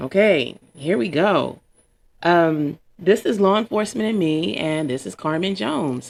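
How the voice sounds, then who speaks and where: This woman's voice sits fairly low, with lively intonation. She speaks at a fairly slow pace. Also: very clean recording, silent background. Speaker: podcast host. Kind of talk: casual monologue. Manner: rambling, off-the-cuff; sleepy-sounding.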